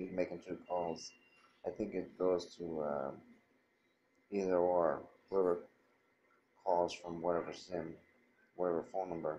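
A man with a very deep, low pitch, fairly slow and monotone, with long, frequent pauses over light background noise. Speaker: phone owner reviewing. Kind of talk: casual product review. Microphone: phone near.

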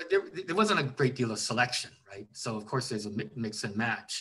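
Over light background noise, a man with a Canadian accent talks at a moderate pace in a medium pitch, his pitch varying in an ordinary way. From Vancouver, Canada; British Columbia, Canada. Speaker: writer and historian; interviewee. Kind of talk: interview. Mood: calm, reflective. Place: home room. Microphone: video call.

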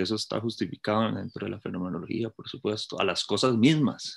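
Here is a man with an ordinary speaking voice, pitched fairly low. He talks at a fairly quick pace with ordinary pitch variation. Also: big swings in loudness. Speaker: philosophy academic in the discussion. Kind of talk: academic discussion.

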